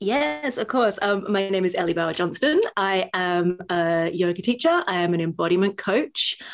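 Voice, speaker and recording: At a moderate pace and a medium pitch, a woman speaks with an Australian accent, ordinary pitch variation, very even loudness and hardly any pauses. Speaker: yoga teacher and embodiment coach. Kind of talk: casual chat. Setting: home above a tube station.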